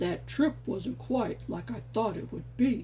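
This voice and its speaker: A man speaks at a fairly slow pace in a put-on character voice, with clear background noise behind him. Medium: read story. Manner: warm and chatty.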